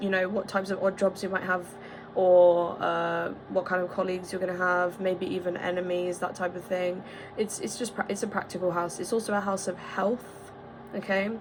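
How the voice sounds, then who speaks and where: Over noticeable background noise, a woman at medium pitch speaks in a flat monotone at a moderate pace. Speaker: astrology video creator. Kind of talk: casual explainer monologue.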